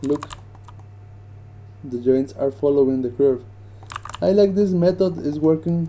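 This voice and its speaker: A man with a non-native accent at a fairly slow pace, over light background noise. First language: not English. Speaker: 3D animation rigger; 3D rigging instructor. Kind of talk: tutorial. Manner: casual, hesitant.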